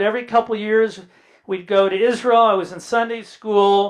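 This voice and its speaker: An animated man with an American accent speaks at a moderate pace. His voice is high-pitched for a man. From Indiana, US Midwest. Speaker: son of Holocaust survivors, author, speaker. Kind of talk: public talk with slides. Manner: animated storytelling.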